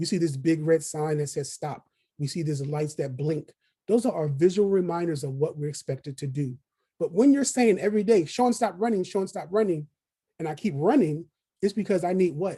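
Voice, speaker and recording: A man speaks at a fairly quick pace. His voice is high in pitch, with a dark, mellow tone. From Philadelphia, US. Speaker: early childhood education consultant. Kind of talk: virtual conference presentation. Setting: video call presentation. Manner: fast.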